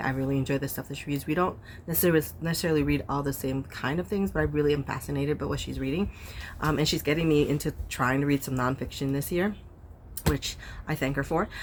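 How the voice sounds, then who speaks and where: Quiet and fairly even in intonation, a woman talks at a very fast pace in a very deep, low voice. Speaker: book youtuber. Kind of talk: casual vlog chat. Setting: outdoors. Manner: quiet, talking low.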